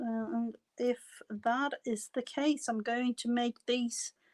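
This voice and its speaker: In a very clean recording with a silent background and a dry, close sound without echo, a woman with a non-native accent speaks very slowly at a high pitch. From foreign country, non-English-speaking. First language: not English. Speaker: crafting livestream host. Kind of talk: casual livestream chat while crafting. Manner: halting, many fillers.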